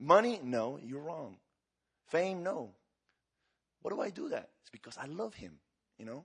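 A man with a Spanish accent speaks at a moderate pace in an animated tone, his fairly high pitch swinging very widely, with vocal fry, big swings in loudness and long, frequent pauses. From Argentina. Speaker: evangelist. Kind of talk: sermon. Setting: church.

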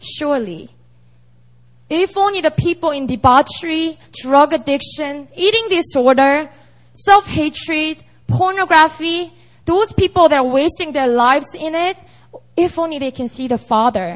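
A woman with an animated tone, at a moderate pace. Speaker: intern pastor. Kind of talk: sermon. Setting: church.

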